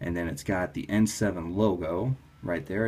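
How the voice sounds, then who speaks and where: A man's voice sits very deep and low and comes out somewhat breathy. His intonation is lively. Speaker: toy customizer. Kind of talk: casual talk to camera. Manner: enthusiastic.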